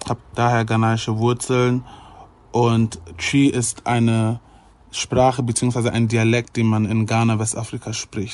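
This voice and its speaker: This man has a medium-pitched voice and talks very slowly. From Germany (Ghanaian family). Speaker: YouTuber. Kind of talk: casual chat.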